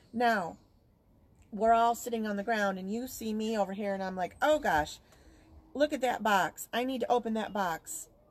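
A woman speaks at a moderate pace with a fairly high pitch and ordinary pitch variation, in a plain, everyday voice. The recording is very clean with a silent background. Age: 50s. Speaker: podcast co-host, spiritual practitioner. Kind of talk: casual live-stream chat. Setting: outdoors.

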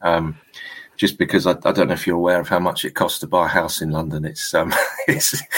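A man with a southern English accent talks at a fairly quick pace in a very deep, low pitch. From southern England, Hampshire (Fleet). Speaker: music industry A&R consultant. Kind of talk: casual interview chat. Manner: halting, many fillers and repeats.

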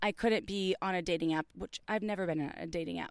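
Recorded dry and close with no echo over a silent background, a woman with an American accent talks at a moderate pace with lively intonation in a plain, everyday voice, and the recording is very clean. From US Midwest. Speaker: sex podcast host. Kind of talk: casual chat. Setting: outdoors.

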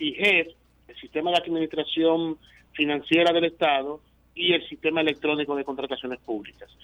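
A man's fairly high-pitched voice, a normal speaking voice, with fairly even intonation, a fairly quick pace and big swings in loudness. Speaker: government official. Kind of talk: interview. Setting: phone call. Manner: formal.

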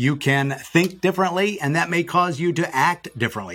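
A man with a normal speaking voice, ordinary pitch variation and a moderate pace, on a very clean recording with a silent background. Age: 50s. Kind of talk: podcast interview.

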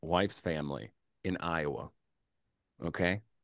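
A man with an American accent speaks fairly slowly in a very deep, low voice with vocal fry, the sound dry and close with no echo over a quiet background. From US Midwest. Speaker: journalist and podcaster. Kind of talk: casual chat. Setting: video call. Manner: animated.

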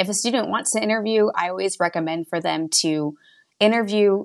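With an American accent, a woman uses a plain, everyday voice and ordinary pitch variation. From West Texas. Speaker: college admissions counselor. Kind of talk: interview.

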